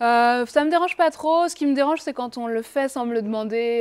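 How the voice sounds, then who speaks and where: On a very clean recording with a silent background, a woman talks at a fairly quick pace. Her pitch is fairly high, with ordinary variation. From Brittany, France (Rennes). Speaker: singer. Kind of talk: casual interview. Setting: bar. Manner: hesitant, many fillers.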